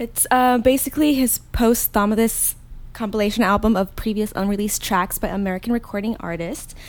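A woman talks at a fairly quick pace, her pitch fairly high with ordinary variation. It is an ordinary speaking voice. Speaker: podcast co-host. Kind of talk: casual chat.

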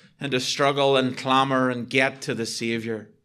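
Against audible room echo, a man with a Northern Irish accent and a bright, sharp tone talks at a moderate pace in a fairly high pitch with fairly even intonation. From Northern Ireland. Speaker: visiting preacher. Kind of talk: sermon. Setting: church.

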